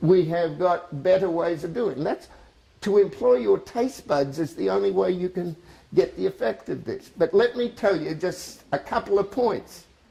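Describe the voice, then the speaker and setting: Speaking with an Australian accent, a man uses lively intonation and a high pitch at a moderate pace. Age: 70s. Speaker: cooking demonstrator. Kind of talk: sales pitch. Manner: animated.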